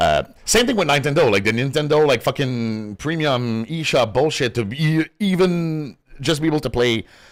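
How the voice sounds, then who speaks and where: The speaker has a French Canadian accent and lively intonation, with hardly any pauses. The pace is moderate and the loudness very even. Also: man, fairly high pitch for a man. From Quebec. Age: 30s. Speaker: gaming streamer. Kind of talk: casual chat. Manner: casual, filler-heavy.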